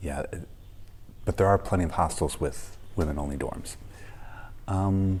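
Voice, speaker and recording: A quiet, somewhat breathy voice at a fairly slow pace, with ordinary pitch variation and long, frequent pauses. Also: man, very deep, low pitch for a man. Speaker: travel vlogger. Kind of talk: casual vlog talk to camera. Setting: hostel room, early morning. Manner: quiet, kept low; hesitant, many ums.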